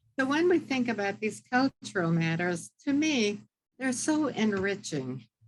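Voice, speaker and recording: Fairly slow, somewhat breathy speech from a woman, with very wide pitch swings. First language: not English (English is her third). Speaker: author and philanthropy expert. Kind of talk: interview conversation. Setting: video call.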